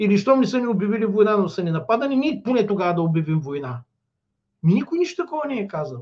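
At a very fast pace, a man speaks at a high pitch with very wide pitch swings against a quiet background. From Bulgaria. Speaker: political commentator. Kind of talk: political commentary. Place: home room. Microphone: webcam.

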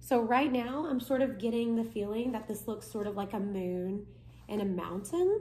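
A woman with a fairly high pitch speaks at a moderate pace. Her tone is dark and mellow, and somewhat breathy. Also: ordinary pitch variation. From Kentucky. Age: 20s. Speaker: art tutorial presenter, college student; art teacher guest. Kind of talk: tutorial. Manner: casual. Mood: relaxed, friendly. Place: home room. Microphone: phone near.

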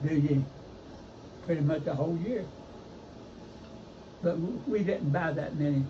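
A man's fairly high voice in an Appalachian accent, at a moderate pace with long, frequent pauses and ordinary pitch variation, amid audible room echo. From eastern Kentucky, Letcher County. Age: 80s+. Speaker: retiree recalling rural childhood. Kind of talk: casual chat.

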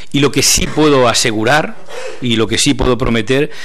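Against a quiet background, a man speaks at a medium pitch. His pace is moderate and his pitch variation ordinary. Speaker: journalist, appointed festival proclaimer. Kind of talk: press conference speech. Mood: warm, humble, enthusiastic. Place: meeting room. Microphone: podium.

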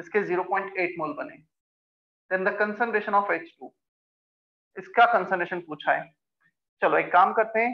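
Long, frequent pauses break up a man's speech at a fairly slow pace. His pitch is high and his intonation lively. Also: quiet background. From India. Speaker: chemistry teacher. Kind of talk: online class lecture. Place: classroom.

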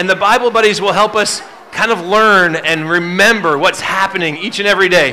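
The voice is raised and projected. Its pace is moderate. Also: man. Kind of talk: instructions to children's audience. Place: stage.

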